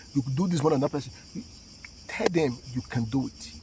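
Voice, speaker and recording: A man's medium-pitched voice with vocal fry and lively intonation at a moderate pace. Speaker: motivational vlogger. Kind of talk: motivational talk. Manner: halting, repeated words.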